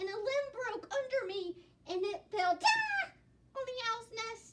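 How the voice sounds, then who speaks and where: A woman puts on a squeaky character voice, extremely high-pitched and raised, projected. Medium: read story. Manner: nervous.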